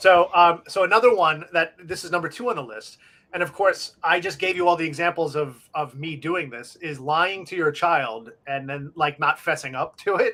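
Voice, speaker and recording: A man with an American accent speaks in a high pitch at a moderate pace, his bright, sharp tone showing ordinary pitch variation and big swings in loudness, with hardly any pauses. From US Northeast, Long Island, New York. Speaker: live show co-host. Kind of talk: casual chat. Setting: live internet stream.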